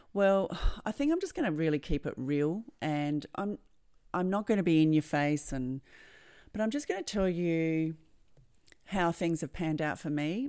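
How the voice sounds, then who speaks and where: A woman with an Australian accent talks at a moderate pace in a fairly low pitch, her intonation lively. The recording is very clean, with a silent background. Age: 50s. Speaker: podcast host, NLP and hypnosis coach. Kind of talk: personal storytelling monologue. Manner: halting, repeats words.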